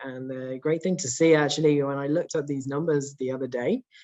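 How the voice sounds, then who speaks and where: The man speaks with a British accent. His voice is fairly high, with fairly even intonation. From UK. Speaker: real estate executive. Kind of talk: conference presentation. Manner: hesitant fillers, frequent uh and um.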